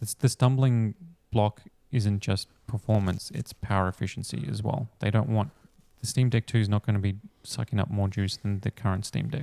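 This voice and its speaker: In an Australian accent, a man with a fairly low pitch and a dark, mellow tone speaks at a moderate pace with ordinary pitch variation, the sound dry and close with no echo. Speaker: tech podcast host. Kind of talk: casual chat. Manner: hesitant, many fillers.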